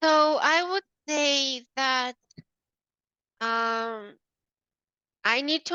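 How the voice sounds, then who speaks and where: A woman's high, raised and projected voice, bright and sharp in tone, with a non-native accent and a dry, close sound with no echo. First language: not English. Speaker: business coach. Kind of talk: coaching demo.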